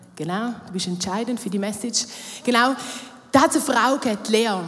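Noticeable background noise sits behind a woman talking at a very fast pace. Her voice is fairly high, with lively intonation. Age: 30s. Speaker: church youth worker. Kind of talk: sermon. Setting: stage with audience.

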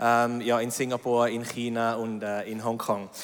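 This is a man's voice. It sits at a medium pitch. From Switzerland, Zurich. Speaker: business executive and missionary. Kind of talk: reading aloud.

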